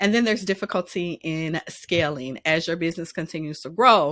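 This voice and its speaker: In a normal speaking voice, a woman talks at a fairly low pitch and moderate pace with ordinary pitch variation, the recording very clean, dry and close with a silent background and no echo. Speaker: business consultant. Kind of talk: business advice monologue. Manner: casual, with frequent fillers.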